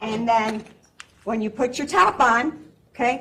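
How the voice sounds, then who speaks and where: In a loud, animated tone and an American accent, this voice moves at a fairly slow pace. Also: woman. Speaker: pharmacy technician. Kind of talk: live demonstration talk. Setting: convention stage with audience, no microphone.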